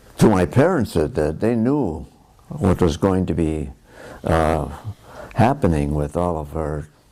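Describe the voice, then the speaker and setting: A man with a very deep, low pitch and an American accent, fairly slow with lively intonation and long, frequent pauses, amid noticeable background noise. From US Midwest, Milwaukee, Wisconsin. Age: 80s+. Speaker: war veteran. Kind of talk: oral history interview. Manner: halting, many fillers.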